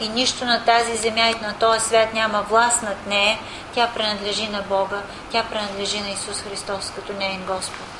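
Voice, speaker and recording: A woman's monotone, flat voice at a moderate pace, with audible room echo and noticeable background noise. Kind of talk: sermon.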